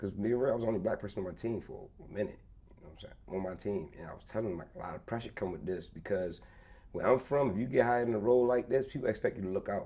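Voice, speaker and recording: A man with a Baltimore accent talks very fast at a medium pitch. His tone is dark and mellow, with ordinary pitch variation. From Baltimore, US. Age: 30s. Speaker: former corporate employee, entrepreneur. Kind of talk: casual interview chat. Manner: halting, repeats words.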